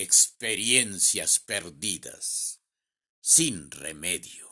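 The recording is very clean with a silent background as a man talks very slowly. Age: 70s. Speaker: poet. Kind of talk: poetry reading.

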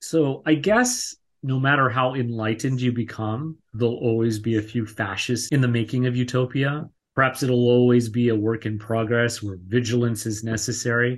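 Against a quiet background, a man speaks at a moderate pace in a somewhat breathy voice of medium pitch. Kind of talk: casual chat. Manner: animated.

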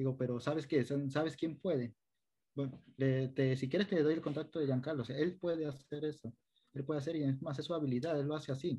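The voice is somewhat breathy with a dark, mellow tone and a coastal Ecuadorian accent. Intonation stays fairly even at a fairly quick pace. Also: man, fairly high pitch for a man. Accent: Ecuadorian coastal (costeño). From Ecuador, coastal El Oro province (Machala). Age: 20s. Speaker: youth service club volunteer leader. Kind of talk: interview conversation.

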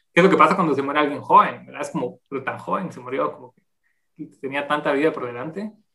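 The speech moves at a very fast pace. Its tone is bright and sharp. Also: man, fairly high pitch for a man, ordinary pitch variation. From Guatemala City. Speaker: anthropologist and demographer. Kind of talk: interview. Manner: halting.

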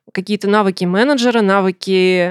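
A woman speaks in an unremarkable speaking voice at medium pitch with ordinary pitch variation. The recording is very clean with a silent background and a dry, close sound with no echo. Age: 30s. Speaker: software tester, former PR specialist. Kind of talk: interview.

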